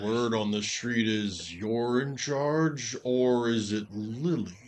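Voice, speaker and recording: A man puts on a character voice at a medium pitch and a very slow pace. Clear background noise runs underneath. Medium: actual play. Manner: casual, wry.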